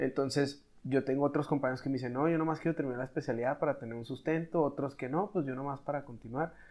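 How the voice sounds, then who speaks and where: A man speaks in a fairly high pitch at a very fast pace, with hardly any pauses. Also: fairly even intonation. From Mexico, Chihuahua. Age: 20s. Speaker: doctor in medical specialty training. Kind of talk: casual chat.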